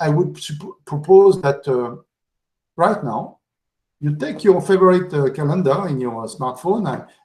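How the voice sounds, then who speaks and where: With a French accent, a man speaks at a fairly slow pace using lively intonation. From France. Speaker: conference speaker. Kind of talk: conference talk. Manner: halting, many fillers.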